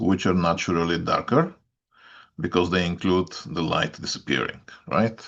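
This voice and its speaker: A man with a Bulgarian accent, a very deep, low pitch and fairly even intonation, at a moderate pace against a quiet background. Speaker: astrologer. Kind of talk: weekly update talk. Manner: hesitant, many filler sounds.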